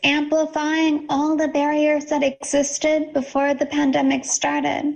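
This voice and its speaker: With an American accent, a woman talks at a fairly slow pace in a high pitch, her intonation flat and monotone. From California, US. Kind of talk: conference Q&A.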